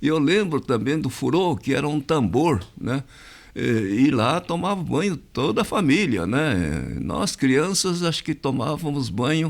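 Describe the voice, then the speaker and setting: Vocal fry runs through this fairly slow delivery, and the pitch swings very widely. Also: man. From Brazil, interior of São Paulo state. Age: 80s+. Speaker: community association president. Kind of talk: interview. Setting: podcast studio. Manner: hesitant, many fillers.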